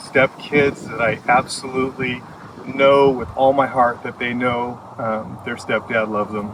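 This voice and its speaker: A man talks in a monotone, flat intonation at a fairly slow pace and medium pitch. Noticeable background noise sits behind him. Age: 60s. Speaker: farm owner. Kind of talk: personal testimony. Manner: halting, many fillers.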